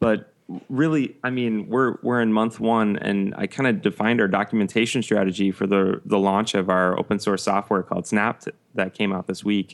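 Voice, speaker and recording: Using an ordinary speaking voice, a man with a fairly low pitch speaks at a fairly quick pace with ordinary pitch variation against a quiet background. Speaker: podcast co-host. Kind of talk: casual chat.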